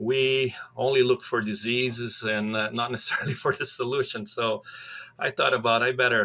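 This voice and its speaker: A man with a Brazilian accent speaks at medium pitch and a moderate pace. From Brazil, near São Paulo. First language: Portuguese. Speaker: professor of animal science. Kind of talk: podcast interview. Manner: hesitant, many fillers.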